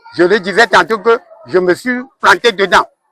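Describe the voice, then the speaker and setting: A man's voice at a very slow pace. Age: 60s. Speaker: school director. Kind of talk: interview. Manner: halting.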